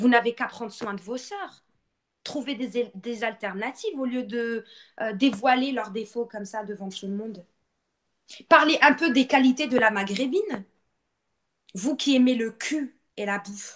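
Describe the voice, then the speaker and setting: With a Moroccan accent, a woman speaks at a fairly slow pace and a high pitch, her tone animated, her pitch variation ordinary, and her long pauses frequent. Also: big swings in loudness. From Morocco. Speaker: live streamer. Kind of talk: live stream rant.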